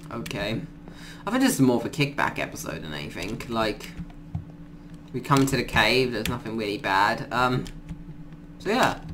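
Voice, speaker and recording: A man speaks at a moderate pace with a medium pitch and lively intonation, leaving long, frequent pauses. Noticeable background noise runs behind him. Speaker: gaming YouTuber. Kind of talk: gameplay commentary. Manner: casual, rambling, filler words.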